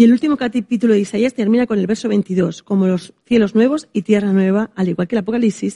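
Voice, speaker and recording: Speaking at a very fast pace with hardly any pauses, a woman's fairly high, somewhat breathy voice has a dark, mellow tone, ordinary pitch variation and very even loudness, recorded with a dry, close sound with no echo. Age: 40s. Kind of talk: casual chat.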